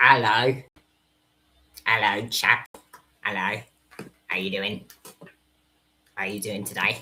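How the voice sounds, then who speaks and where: A low, raspy put-on character voice speaks at a fairly slow pace, with long, frequent pauses. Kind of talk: posh, jovial.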